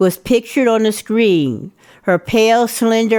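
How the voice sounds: The speaker uses a natural reading voice. It comes across as a reading delivery.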